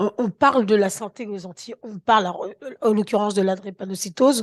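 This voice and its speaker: At a moderate pace, an unremarkable speaking voice with ordinary pitch variation comes through with a dry, close sound with no echo and a quiet background. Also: woman. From Guadeloupe. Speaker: health council president, patient advocate. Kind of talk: panel discussion. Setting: round table with audience.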